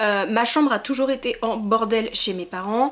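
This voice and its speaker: Her intonation lively, a woman talks very slowly. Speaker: YouTuber. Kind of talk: casual vlog monologue.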